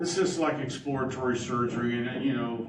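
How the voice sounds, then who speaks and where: Medium-pitched male speech at a moderate pace, with audible room echo and noticeable background noise. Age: 60s. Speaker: county drainage board official. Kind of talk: public board meeting discussion.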